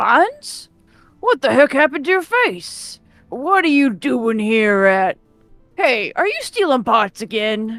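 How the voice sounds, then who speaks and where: With faint music in the background, a female-sounding put-on character voice speaks at a high pitch and a fairly slow pace. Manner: surprised, accusing.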